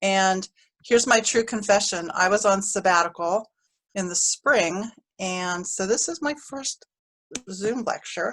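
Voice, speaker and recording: At a fairly slow pace, a woman talks in a normal speaking voice with medium pitch and ordinary pitch variation. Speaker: university professor running a stats workshop. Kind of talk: online workshop lecture. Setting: video call.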